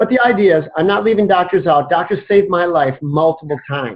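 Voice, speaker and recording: The man's intonation is lively, and his voice sounds somewhat breathy. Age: 60s. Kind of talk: interview.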